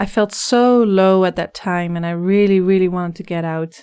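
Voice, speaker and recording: A woman's medium-pitched voice with a slight Dutch accent and monotone, flat intonation, on a very clean recording with a silent background. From Netherlands. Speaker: life coach. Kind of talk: podcast interview.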